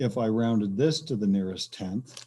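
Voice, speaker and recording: A man talks at a fairly slow pace in a dark, mellow tone with lively intonation. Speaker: teacher. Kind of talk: tutorial. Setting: screen-shared video lesson.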